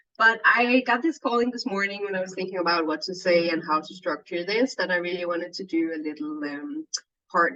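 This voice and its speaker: At a fairly quick pace, a woman with a Danish accent talks at a medium pitch. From Denmark. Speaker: yoga teacher and healer. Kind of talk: casual chat. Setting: video call.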